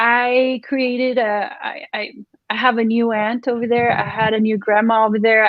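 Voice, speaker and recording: With a Spanish accent, a woman speaks at a moderate pace and a fairly high pitch. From Mexico, Ciudad Juarez. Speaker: real estate agent. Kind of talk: casual interview.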